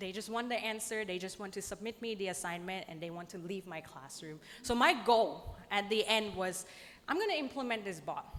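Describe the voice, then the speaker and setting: Audible room echo surrounds a woman with a non-native accent talking at a fairly quick pace. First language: not English. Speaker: lecturer. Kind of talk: conference presentation.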